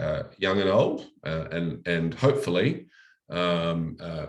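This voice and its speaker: A man with an Australian accent and a very deep, low pitch. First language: French. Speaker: local mayor. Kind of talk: presentation. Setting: online live-streamed seminar. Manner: many fillers (um, uh).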